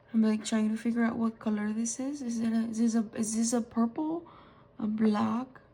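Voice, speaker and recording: This woman has a fairly high pitch and a dark, mellow tone. She is somewhat breathy and talks at a moderate pace. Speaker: stationery and fountain pen ink reviewer. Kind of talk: casual product review haul. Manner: hesitant, many fillers.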